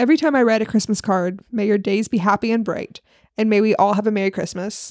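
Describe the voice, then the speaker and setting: In a very clean recording with a silent background, a woman with a fairly high pitch speaks at a very fast pace in an animated tone with ordinary pitch variation. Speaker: podcast host. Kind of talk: casual chat. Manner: animated, laughs often.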